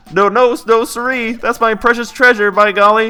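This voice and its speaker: A squeaky, put-on character voice. The pace is moderate. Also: man, extremely high pitch for a man. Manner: protective, stubborn.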